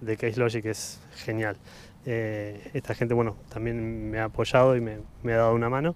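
With light background noise and a dry sound with no echo, a man speaks at a moderate pace in a monotone, flat intonation. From Argentina, Buenos Aires province. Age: 40s. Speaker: photographer; interview guest. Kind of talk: casual chat. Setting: outdoors in a park. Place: garden. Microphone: handheld.

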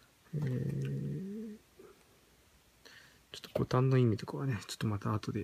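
A man's medium-pitched voice against noticeable background noise. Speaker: product reviewer. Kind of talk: product unboxing review. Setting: home at night. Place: home room. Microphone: phone near.

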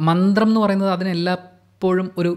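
A man speaks against a quiet background. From Kerala, India. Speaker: podcast host. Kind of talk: solo monologue on song lyrics. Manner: reflective, pausing. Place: home room. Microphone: studio mic.

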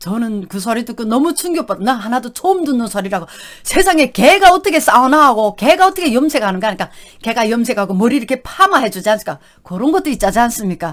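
Very fast speech with very wide pitch swings. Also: woman, fairly high pitch for a woman. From North Korea. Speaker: YouTube vlogger, North Korean defector. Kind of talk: casual storytelling monologue. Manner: animated.

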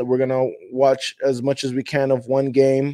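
In a dry recording with no echo and a quiet background, a man speaks in a dark, mellow tone. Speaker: fan channel host. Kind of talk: casual show intro chat.

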